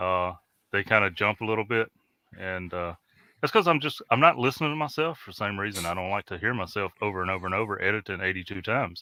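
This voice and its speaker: Fairly low in pitch but bright and sharp in tone, a man speaks very fast with lively intonation on a very clean recording with a silent background and a dry, close sound with no echo. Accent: Mississippi. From US South, Mississippi. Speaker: ham radio show co-host. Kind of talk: casual chat.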